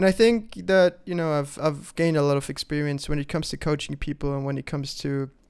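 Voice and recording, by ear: The intonation stays fairly even, with some vocal fry. The tone is clear and smooth, slightly mellow. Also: man.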